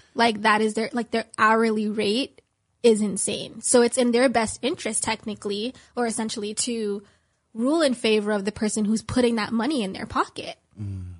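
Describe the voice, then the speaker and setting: A woman's fairly high, somewhat breathy voice over a quiet background. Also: fairly even intonation, moderate pace. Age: 20s. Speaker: guest speaking out about a legal case. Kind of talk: interview.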